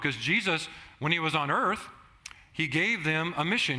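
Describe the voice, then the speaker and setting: In audible room echo, a man with an American accent talks at a moderate pace in a fairly high pitch with a bright, sharp tone. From Southern California. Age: 50s. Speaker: pastor. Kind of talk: sermon.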